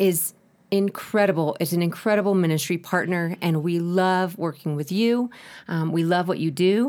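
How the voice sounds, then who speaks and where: In a very clean recording with a silent background, a woman with an American accent uses a normal speaking voice, fairly low in pitch, with ordinary pitch variation at a moderate pace. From United States. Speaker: ministry director. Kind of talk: interview.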